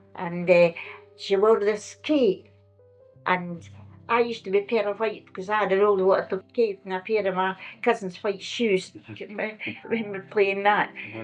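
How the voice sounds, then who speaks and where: Music plays in the background as someone speaks with a Scottish accent. The pace is fairly slow and the intonation fairly even. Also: woman, medium pitch for a woman. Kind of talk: oral history interview answer. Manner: reminiscing, casual.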